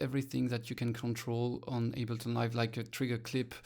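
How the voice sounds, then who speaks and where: In a very clean recording with a silent background, a man with a French accent talks at a medium pitch. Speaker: electronic musician demoing software. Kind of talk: tutorial. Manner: halting, many fillers.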